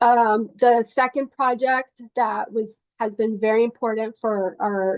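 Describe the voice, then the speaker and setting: A woman with a Spanish accent speaks at a fairly slow pace in a fairly high pitch, her intonation fairly even. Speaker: nonprofit network coordinator. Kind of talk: online meeting update. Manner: halting, many fillers and restarts.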